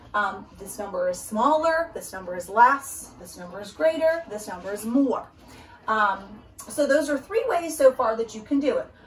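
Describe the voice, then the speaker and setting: A normal speaking voice at a moderate pace. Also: woman. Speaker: teacher. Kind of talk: tutorial. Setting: recorded video for parents.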